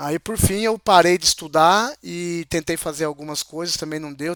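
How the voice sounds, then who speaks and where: A man talks at a moderate pace, his pitch fairly high and its variation ordinary. The sound is dry and close with no echo, and the recording is very clean over a silent background. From interior of São Paulo state, Brazil. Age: 40s. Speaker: interview guest, mechanical technician. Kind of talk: casual interview chat. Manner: halting, with many hesitations.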